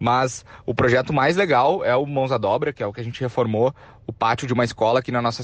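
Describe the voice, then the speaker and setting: Very fast speech from a man at a medium pitch, the intonation fairly even. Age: 20s. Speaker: entrepreneur. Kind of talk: interview. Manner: casual.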